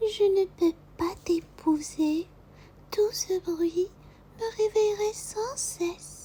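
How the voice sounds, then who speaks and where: Using a put-on character voice, a woman speaks at an extremely high pitch. Her pace is very slow, with long, frequent pauses. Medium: read story.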